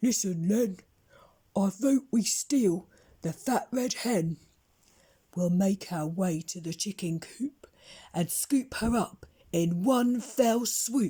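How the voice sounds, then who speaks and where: A woman's put-on character voice at a medium pitch, with lively intonation and a very slow pace. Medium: read story.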